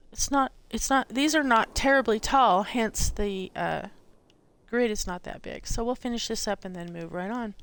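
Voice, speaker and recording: This woman has an unremarkable speaking voice, fairly high in pitch, talking at a moderate pace with ordinary pitch variation and big swings in loudness on a very clean recording with a silent background. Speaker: gaming tutorial streamer. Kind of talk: tutorial.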